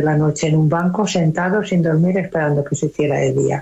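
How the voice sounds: A woman's low voice has a dark, mellow tone with a slightly husky edge and ordinary pitch variation.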